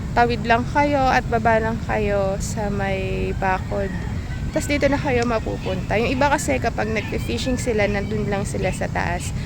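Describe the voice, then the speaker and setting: Noticeable background noise is present, along with audible room echo. Through it, a woman speaks at a moderate pace. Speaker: YouTube fishing vlogger. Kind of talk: casual vlog talk. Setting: outdoors by the water.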